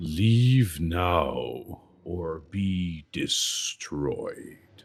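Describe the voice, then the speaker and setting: A man's put-on character voice at a very deep, low pitch. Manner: threatening.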